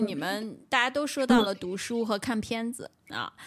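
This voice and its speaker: A woman speaks fairly slowly at a fairly high pitch, with vocal fry and lively intonation. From Beijing. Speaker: podcast host. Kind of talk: casual chat. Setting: remote call.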